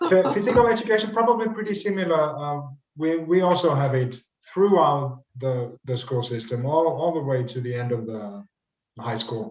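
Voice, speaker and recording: Audible room echo surrounds a man speaking at a moderate pace. His fairly high voice makes very wide pitch swings. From Finland. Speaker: teacher. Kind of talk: online panel discussion. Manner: halting, repeats words.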